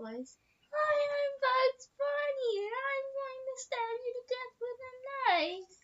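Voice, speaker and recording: In a put-on character voice, a woman speaks at an extremely high pitch and a very slow pace, with hardly any pauses. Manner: cartoonish, threatening in a silly way.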